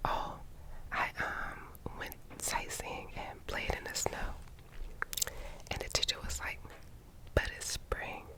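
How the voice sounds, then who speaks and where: Fairly slow whispering against noticeable background noise. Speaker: ASMR creator. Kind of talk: ASMR reading of viewer secrets. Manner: whispered.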